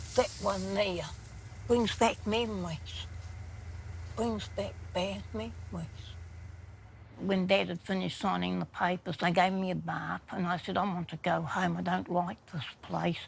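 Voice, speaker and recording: A woman with a New Zealand accent speaks at a fairly slow pace, leaving long, frequent pauses. The recording is very clean, with a silent background. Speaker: human rights self-advocate. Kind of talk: documentary interview.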